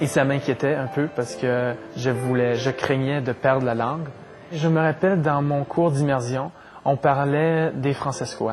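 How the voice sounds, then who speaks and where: Fairly slow speech with fairly even intonation over music in the background. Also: man, fairly high pitch for a man. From Saskatchewan, Canada. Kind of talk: interview answer.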